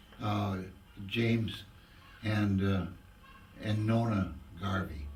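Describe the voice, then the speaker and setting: A man's fairly low, somewhat breathy voice in an Upper Midwest accent, very slow pace, fairly even intonation and audible room echo. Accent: Upper Midwest American. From southwest Minnesota. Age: 80s+. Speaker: war veteran. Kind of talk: oral history interview. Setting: museum. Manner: halting.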